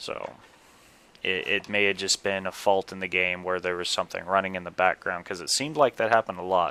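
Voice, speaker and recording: A man with a very deep, low pitch speaks at a fairly quick pace. His tone is bright and sharp, with ordinary pitch variation and a dry, close sound with no echo. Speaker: gaming video commentator. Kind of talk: casual gameplay commentary wrap-up. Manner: rambling, loosely strung thoughts; casual, profane.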